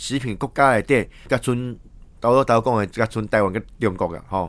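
Lively intonation marks this moderately paced speech. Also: man. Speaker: radio news host. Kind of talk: news commentary. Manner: halting, many fillers.

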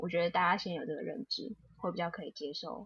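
A woman talks with vocal fry. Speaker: lawyer and podcast co-host. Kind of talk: casual chat.

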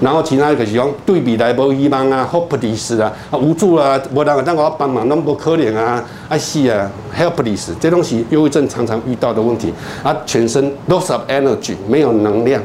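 Noticeable background noise and audible room echo surround a man of medium pitch who speaks at a moderate pace with very even loudness and ordinary pitch variation. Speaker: psychiatrist. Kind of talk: lecture. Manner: storytelling, animated.

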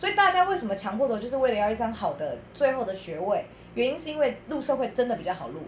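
Over noticeable background noise, a woman with a high pitch talks at a very fast pace with very wide pitch swings. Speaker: teacher. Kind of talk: casual chat.

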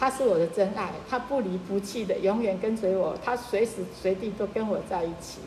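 With noticeable background noise, a woman speaks at a moderate pace and medium pitch, using ordinary pitch variation and hardly any pauses. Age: 70s. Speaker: churchgoing widow and grandmother. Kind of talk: personal faith testimony.

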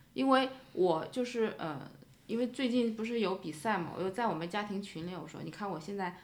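The voice moves at a fairly quick pace with ordinary pitch variation. Audible room echo surrounds it. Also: woman. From China, Shanghai. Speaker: immigrant parent. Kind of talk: casual chat.

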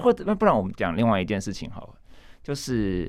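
A man is talking here. His delivery comes at a fairly quick pace. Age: young. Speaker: author and translator. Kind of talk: casual interview.

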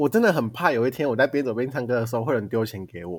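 A man at a very fast pace, medium in pitch. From Taiwan. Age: 20s. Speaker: podcast co-host, university student. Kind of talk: casual chat. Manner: animated, laughing often.

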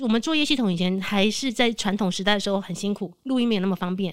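An ordinary speaking voice with lively intonation. The recording is very clean, with a silent background. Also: woman. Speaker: veteran voice actress. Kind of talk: casual chat.

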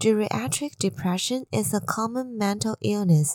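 A woman with a Chinese accent speaks at a fairly slow pace with very wide pitch swings, the sound dry and close with no echo. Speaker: podcast host sharing health news. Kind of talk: scripted news reading.

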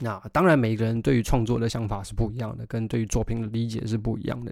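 A man of medium pitch talks at a very fast pace in a very clean recording with a silent background. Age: 20s. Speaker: musician podcast host. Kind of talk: solo podcast monologue. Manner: casual, conversational.

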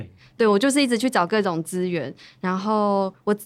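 A woman's ordinary speaking voice at medium pitch and moderate pace, with ordinary pitch variation, in a very clean recording with a silent background. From Taiwan, Hualien (Bunun community). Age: young. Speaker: long-term care supervisor. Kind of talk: interview.

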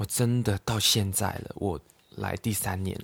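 In a Cantonese accent, a man speaks fairly slowly in a fairly low, monotone, flat voice. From Hong Kong. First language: Cantonese (speaking Chinese). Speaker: podcast host. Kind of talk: casual chat. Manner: halting.

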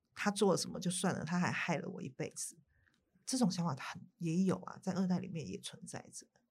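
A woman's fairly low voice with vocal fry, at a fairly quick pace, with ordinary pitch variation and big swings in loudness. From Taiwan. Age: 50s. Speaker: writer and documentary director. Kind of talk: interview.

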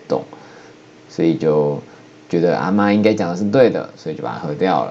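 Over noticeable background noise, a man with a Taiwanese accent speaks in a very deep, low pitch that swings very widely. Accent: Taiwanese Mandarin. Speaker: podcaster. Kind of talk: solo talk monologue. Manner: playful.

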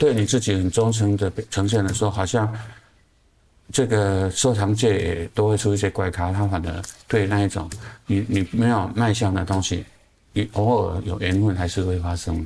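Fairly low in pitch, a man talks at a moderate pace. His tone is dark and mellow, and somewhat breathy. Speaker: artist. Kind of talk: casual interview. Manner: halting with many fillers and repetitions.

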